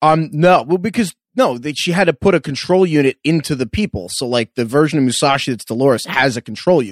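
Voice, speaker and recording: With an American accent, a man speaks very fast with lively intonation in a dry, close sound with no echo. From New York. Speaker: podcast co-host. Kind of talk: casual recap chat.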